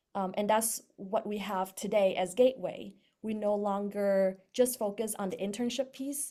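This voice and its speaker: At a moderate pace and with hardly any pauses, a woman speaks in a dark, mellow tone at medium pitch with fairly even intonation. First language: not English. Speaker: startup co-founder. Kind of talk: panel talk. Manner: many filler words (um, uh).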